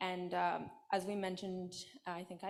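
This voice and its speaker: There is audible room echo on this recording. A woman is the one talking. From Australia. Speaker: student panel presenter. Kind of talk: conference panel Q&A answer.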